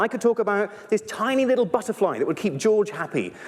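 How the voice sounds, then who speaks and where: A man with a British accent and a high pitch speaks at a fairly quick pace against noticeable background noise. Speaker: primatologist and evolutionary biologist. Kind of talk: live stage talk. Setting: stage with audience. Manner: fast; animated.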